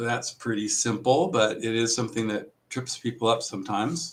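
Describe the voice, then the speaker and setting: The man speaks at a moderate pace. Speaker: district testing coordinator and trainer. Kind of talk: training presentation. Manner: loud; casual with many filler words.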